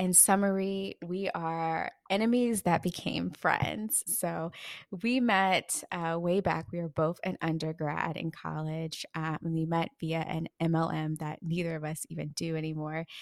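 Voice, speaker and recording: In a plain, everyday voice, a woman speaks fairly slowly and fairly low, the sound dry and close with no echo. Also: fairly even intonation, very clean recording, silent background. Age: 20s. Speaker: podcast co-host. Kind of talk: casual chat.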